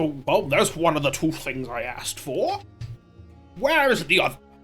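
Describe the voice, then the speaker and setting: A put-on character voice with a pompous tone, middle pitch and moderate pace, over clear background music. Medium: actual play. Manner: pompous, self-satisfied.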